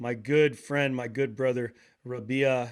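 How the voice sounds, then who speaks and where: A man's plain, everyday voice with an American accent, fairly high-pitched, at a moderate pace, on a very clean recording with a silent background. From Portland, Oregon, US. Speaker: podcast host, drummer, wellness practitioner. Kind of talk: casual interview conversation.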